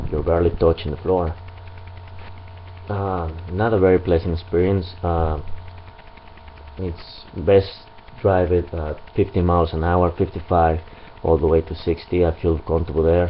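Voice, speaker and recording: Over light background noise, a man with a very deep, low pitch and a strong non-native accent speaks at a moderate pace in a monotone, flat intonation, leaving long, frequent pauses. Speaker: motorcycle owner reviewer. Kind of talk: product review. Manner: hesitant, many fillers. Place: garage. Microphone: camera far.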